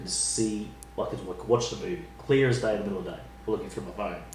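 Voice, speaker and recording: Talking at a very fast pace with an Australian accent, a man is heard with audible room echo and noticeable background noise. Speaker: podcast host. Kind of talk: casual chat. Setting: kitchen table.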